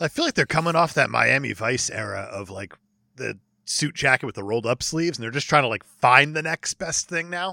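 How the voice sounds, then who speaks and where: A man with an American accent talks at a fairly quick pace in a fairly high, bright, sharp voice with vocal fry and lively intonation, recorded very cleanly with a silent background and a dry, close sound with no echo. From New Jersey. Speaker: podcast guest. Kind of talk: casual chat. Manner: animated.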